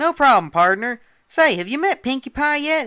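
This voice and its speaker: A put-on character voice, high in pitch, at a moderate pace in a very clean recording with a silent background. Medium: read story. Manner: folksy, warm.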